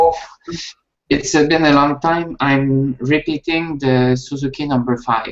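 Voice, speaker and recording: Speaking at a fairly slow pace, a man with a Quebec accent uses a fairly high pitch and fairly even intonation. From Quebec, Canada. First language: French. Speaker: violin student. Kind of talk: casual chat. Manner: halting.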